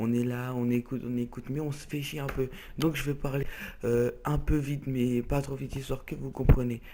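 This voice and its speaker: A man speaks with monotone, flat intonation at a medium pitch. His tone is dark and mellow, and his pace fairly quick. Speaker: gaming youtuber. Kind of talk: let's play commentary. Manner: fast; loud.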